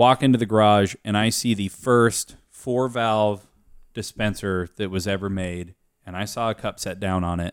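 A man with an American accent and an unremarkable speaking voice talks at a moderate pace and fairly low pitch with fairly even intonation. The recording is very clean, with a silent background. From US Pacific Northwest (Aberdeen, Washington). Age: 20s. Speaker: podcast guest, friend of host working in his company. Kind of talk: casual chat. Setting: studio with beer drinking.

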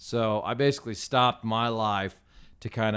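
On a very clean recording with a silent background, a man with an American accent has a plain, everyday voice at a medium pitch with fairly even intonation. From small-town Indiana, US Midwest. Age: 30s. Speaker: donut shop owner. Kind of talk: casual chat. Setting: studio.

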